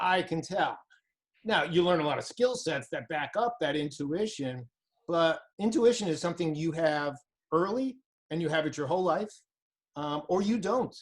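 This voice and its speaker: A man with a high pitch speaks with lively intonation and long, frequent pauses. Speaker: recruiting trainer. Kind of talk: interview.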